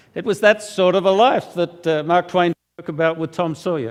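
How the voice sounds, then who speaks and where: A high-pitched man with an Australian accent and ordinary pitch variation. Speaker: preacher and magazine editor. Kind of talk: sermon. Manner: halting, many fillers.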